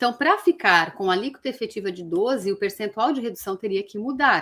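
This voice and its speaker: On a very clean recording with a silent background, a woman with a fairly high pitch and a bright, sharp tone talks at a fairly quick pace, with lively intonation and big swings in loudness. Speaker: tax law teacher. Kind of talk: lecture. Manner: casual, conversational.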